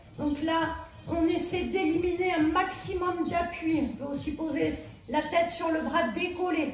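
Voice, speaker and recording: Amid light background noise and audible room echo, a woman speaks at an extremely high pitch. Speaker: fitness instructor. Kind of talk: workout instruction. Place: home room. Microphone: camera far.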